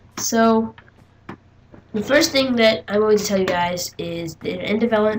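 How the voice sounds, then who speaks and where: Fairly quick speech from a woman, ordinary pitch variation, noticeable background noise. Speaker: gaming youtuber. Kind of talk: gameplay tutorial commentary. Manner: casual, hesitant with fillers.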